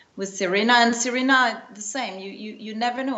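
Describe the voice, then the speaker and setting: Noticeable background noise runs through the clip. Room echo is audible too. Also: woman. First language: not English. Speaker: tennis journalist. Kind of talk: interview. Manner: halting, many repetitions.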